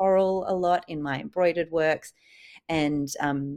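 The recording is very clean, with a silent background. A woman with a fairly low pitch speaks in an Australian accent. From Sydney, Australia. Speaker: artist. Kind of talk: interview.

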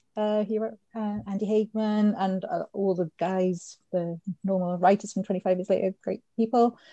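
A woman speaks in a Welsh accent at a medium pitch. Her tone is dark and mellow, with fairly even intonation. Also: moderate pace, dry, close sound with no echo. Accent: Welsh (Swansea). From Swansea, Wales. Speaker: fan site writer. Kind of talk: casual chat.

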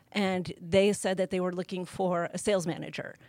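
Her voice has a medium pitch. The speaker is a woman. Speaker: motorcycle industry executive. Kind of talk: interview. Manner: shaky.

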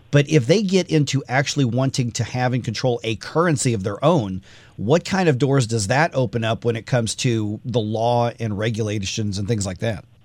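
Captured on a very clean recording with a silent background, an ordinary speaking voice moves at a moderate pace with lively intonation. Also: man. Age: 40s. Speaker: radio talk show host. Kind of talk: radio interview.

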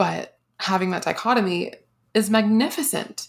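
A woman with vocal fry and ordinary pitch variation is heard in a very clean recording with a silent background. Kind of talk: casual chat.

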